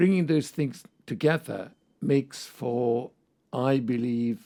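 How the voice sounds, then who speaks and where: With a Hungarian accent and a dark, mellow tone, a man speaks at a fairly slow pace with ordinary pitch variation. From Hungary. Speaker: psychoanalyst and professor. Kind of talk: interview.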